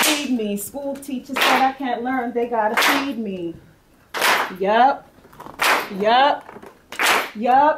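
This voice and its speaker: Against noticeable background noise, the speaker moves at a very slow pace with long, frequent pauses and ordinary pitch variation. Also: woman. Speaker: spoken word poet. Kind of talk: spoken word poetry performance.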